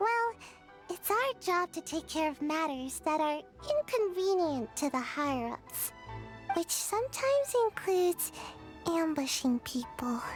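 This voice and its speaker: A squeaky, high-pitched put-on character voice with clear music in the background. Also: moderate pace. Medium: video game. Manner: hesitant, stammering, sighing.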